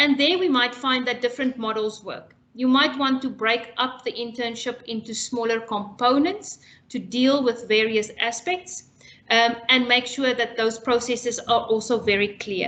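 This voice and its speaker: Noticeable background noise sits under a woman's high-pitched voice. She keeps a moderate pace with fairly even intonation. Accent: non-native. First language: not English. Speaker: international education specialist. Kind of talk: webinar presentation. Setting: online webinar.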